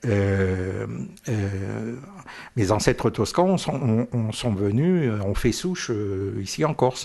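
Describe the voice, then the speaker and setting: The delivery is very slow, with lively intonation. The background is quiet. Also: man, fairly low pitch for a man. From North Africa (French Algeria), Corsican family. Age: 70s. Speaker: veteran journalist. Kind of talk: interview. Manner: hesitant, many fillers and repetitions.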